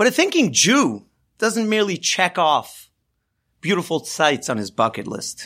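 The man's voice sits high and moves at a moderate pace with very wide pitch swings. The recording is very clean, with a silent background. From US West Coast, Los Angeles. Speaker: rabbi. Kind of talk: Torah lesson. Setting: studio.

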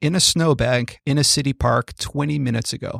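A man with a plain, everyday voice and fairly high pitch talks at a fairly quick pace in a very clean recording with a silent background and a dry, close sound with no echo. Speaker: medical podcast host. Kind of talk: podcast interview. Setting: studio.

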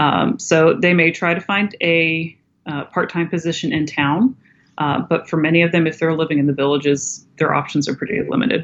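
A woman in a normal speaking voice talks at a moderate pace with an American accent. Her pitch is fairly low, with ordinary variation. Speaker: nonprofit founder, educator. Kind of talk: interview, casual conversation.

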